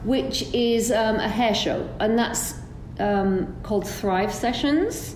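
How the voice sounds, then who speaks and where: A woman speaks very slowly in an English accent, her pitch fairly high with ordinary variation. Noticeable background noise sits behind her. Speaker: hairdressing educator. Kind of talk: interview.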